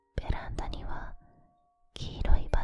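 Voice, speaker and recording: A woman whispering at a very slow pace. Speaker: ASMR creator. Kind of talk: whispered scary story reading. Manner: whispered, soft, close to the ear.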